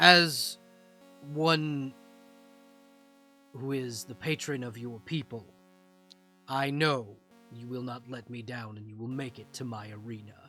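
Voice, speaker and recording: A man's booming, put-on character voice at a medium pitch and a fairly slow pace. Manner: commanding, grand.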